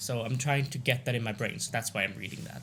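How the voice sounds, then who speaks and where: A man speaks with vocal fry. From Sweden. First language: Swedish. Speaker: gaming streamer. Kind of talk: let's play commentary. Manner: halting.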